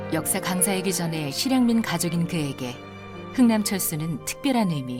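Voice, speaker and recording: Against music in the background, a woman speaks with a very deep, low pitch and a calm tone, moving at a fairly slow pace with lively intonation. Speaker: voice actor. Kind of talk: documentary narration. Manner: calm, comfortable.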